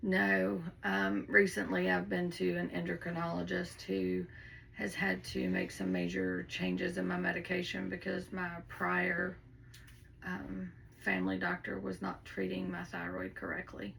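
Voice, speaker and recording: A fairly slow pace with audible room echo. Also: woman. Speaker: mock patient. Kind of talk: casual answers in role-play.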